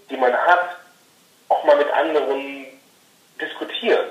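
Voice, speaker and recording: A man speaks very slowly with ordinary pitch variation, and there is audible room echo. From Rhineland, western Germany. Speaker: podcaster and podcast marketing consultant. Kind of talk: interview. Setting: phone call. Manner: halting, many fillers.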